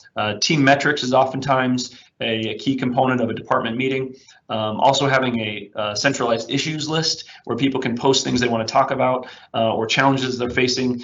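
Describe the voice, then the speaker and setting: Fairly quick speech from a man, with audible room echo. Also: medium pitch for a man, fairly even intonation. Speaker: IT consultant presenting a webinar. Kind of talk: webinar presentation and software demo. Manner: fast; frequent fillers (um, uh).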